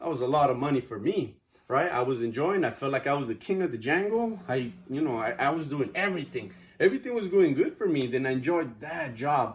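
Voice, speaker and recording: A somewhat breathy man with a Spanish accent, lively intonation and a fairly quick pace. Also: fairly high pitch for a man. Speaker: student. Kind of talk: class speech.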